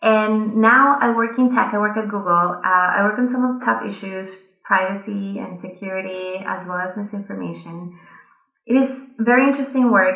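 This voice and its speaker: With a Colombian accent, a woman speaks at a moderate pace and medium pitch, her pitch varying in an ordinary way amid audible room echo. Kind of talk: conference talk.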